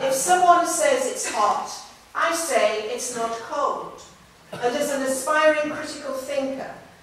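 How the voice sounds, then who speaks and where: A woman with a British accent speaks at a fairly slow pace in a high pitch, with ordinary pitch variation. Audible room echo and noticeable background noise surround her voice. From northeast England. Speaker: speaker, women's rights advocate. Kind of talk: public lecture.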